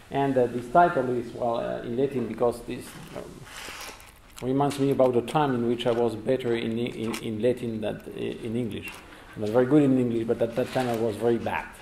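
Audible room echo and light background noise surround a man. He speaks fairly quickly with flat, monotone intonation. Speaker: guest lecturer. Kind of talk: lecture. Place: hall.

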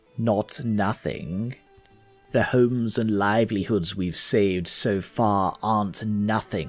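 A man puts on a character voice, pitched fairly low. Faint music plays in the background. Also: fairly slow pace. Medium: actual play. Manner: calm, reassuring.

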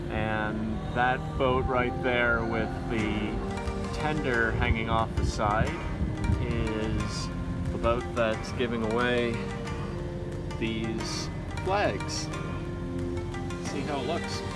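A man speaks very slowly with long, frequent pauses in a dry sound with no echo, over loud background music. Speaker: sailing vlogger. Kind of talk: casual vlog chat. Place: boat. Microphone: phone near.

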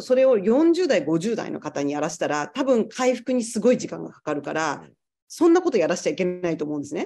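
Against a quiet background, a woman talks very fast in a dark, mellow tone with vocal fry and very wide pitch swings. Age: 40s. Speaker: yoga teacher. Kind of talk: casual chat. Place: home room. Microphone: video call.

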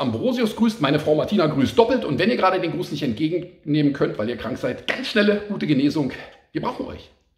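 A man speaks very fast, and audible room echo trails his words. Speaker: YouTuber. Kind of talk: casual vlog chat. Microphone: phone near.

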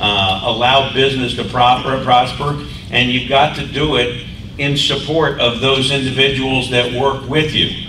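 A moderate pace, with audible room echo and light background noise. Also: man. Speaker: state agency director. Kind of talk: speaker introduction. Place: hall.

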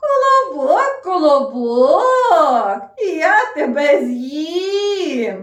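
In a put-on character voice, the speaker goes very slowly at a high pitch with very wide pitch swings. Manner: sly.

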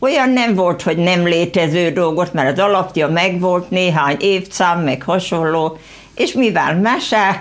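Very slow and very even in loudness, a woman with a fairly low pitch speaks with lively intonation. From Hungary, rural Veszprém county village; Hungary. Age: 70s. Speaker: local author; guest. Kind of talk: studio interview. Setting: TV studio. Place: studio.

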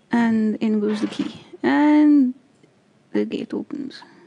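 At a very slow pace, a woman with a fairly high, somewhat breathy voice moves through very wide pitch swings. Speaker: gaming video creator. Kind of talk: let's play commentary. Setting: home recording.

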